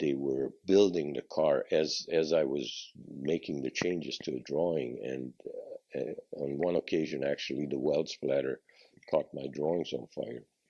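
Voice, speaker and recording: With vocal fry and a very deep, low pitch, a man talks at a fairly slow pace using fairly even intonation. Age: 80s+. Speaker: car designer. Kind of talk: interview answer.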